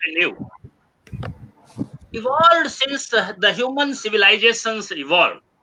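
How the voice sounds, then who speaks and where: A man speaks in a raised, projected voice at an extremely high pitch. His intonation is lively and his pace moderate. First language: Hindi. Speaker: webinar speaker. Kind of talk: lecture. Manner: halting.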